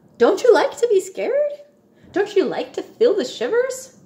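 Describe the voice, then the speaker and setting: Using a put-on character voice, a woman speaks at an extremely high pitch in a squeaky tone and at a moderate pace. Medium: read story.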